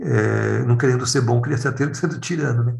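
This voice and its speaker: A man with vocal fry talks at a fairly quick pace and a medium pitch, with ordinary pitch variation. Audible room echo surrounds him. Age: 50s. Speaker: clown and educator. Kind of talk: casual interview conversation.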